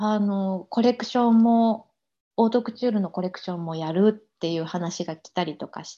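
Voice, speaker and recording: With a dark, mellow tone, a woman speaks with ordinary pitch variation and big swings in loudness. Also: medium pitch for a woman, moderate pace. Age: 40s. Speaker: embroidery artisan. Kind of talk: interview.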